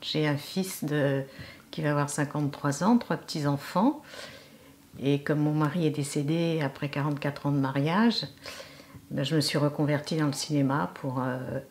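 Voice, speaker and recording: Her pitch very deep and low, a woman speaks at a moderate pace with ordinary pitch variation and long, frequent pauses. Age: 70s. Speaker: actress. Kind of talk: interview. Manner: hesitant, many fillers.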